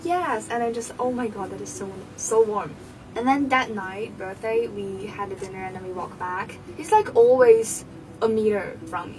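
A woman with a Chinese accent speaks at a moderate pace with a fairly high pitch, ordinary pitch variation and big swings in loudness. Audible room echo and noticeable background noise fill the recording. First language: Mandarin Chinese. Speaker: student. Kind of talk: casual chat; reading aloud.

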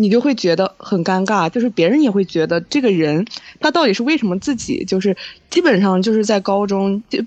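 Recorded with a dry, close sound with no echo against a quiet background, a woman speaks fairly quickly at medium pitch. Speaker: podcast co-host. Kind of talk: casual chat.

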